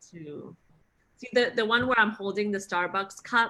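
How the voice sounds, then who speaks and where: A woman speaks at a moderate pace with a medium pitch and a bright, sharp tone. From Singapore. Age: 30s. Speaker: actress. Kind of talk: interview.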